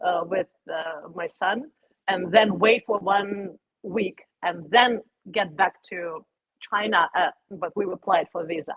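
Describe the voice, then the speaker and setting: Pausing long and often, a woman with a Russian accent speaks at a fairly slow pace and a medium pitch with fairly even intonation. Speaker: YouTuber. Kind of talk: personal interview. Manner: halting.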